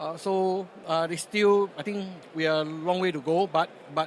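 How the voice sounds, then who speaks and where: In a high pitch, a man speaks with fairly even intonation. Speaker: tabletop gaming team member. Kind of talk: casual interview. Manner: halting.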